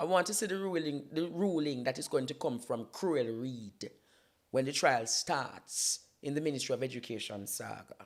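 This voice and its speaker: A man with a Jamaican accent speaks at a moderate pace in a fairly high pitch. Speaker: political commentator and YouTuber. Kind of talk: impassioned political talk on a talk show. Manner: emphatic, declamatory.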